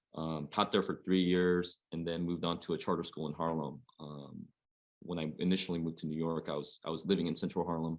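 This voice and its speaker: A man with an American accent and a very deep, low pitch speaks at a fairly quick pace in a monotone, flat intonation, in a very clean recording with a silent background. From Oregon, US Pacific Northwest. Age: 40s. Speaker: high school basketball coach. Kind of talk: panel discussion.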